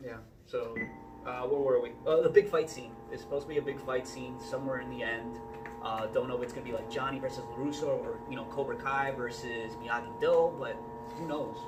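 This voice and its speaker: A man at a fairly quick pace, with big swings in loudness, music in the background and audible room echo. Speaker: podcast co-host. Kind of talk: casual chat. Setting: gym. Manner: soft-spoken.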